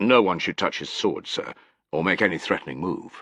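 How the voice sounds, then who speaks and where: A put-on character voice growls at a moderate pace. The background is quiet. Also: man, fairly low pitch for a man. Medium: read story. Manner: clipped, soldierly.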